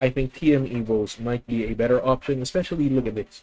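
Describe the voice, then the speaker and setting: A man speaks at a medium pitch with a Filipino accent. His pitch variation is ordinary. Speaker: gaming streamer. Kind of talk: live gameplay commentary. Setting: live stream.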